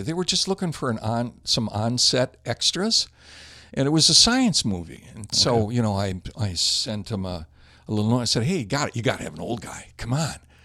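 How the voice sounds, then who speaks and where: Very wide pitch swings mark a man's fairly quick speech on a very clean recording with a silent background. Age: 70s. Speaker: actor and model. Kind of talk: casual interview chat.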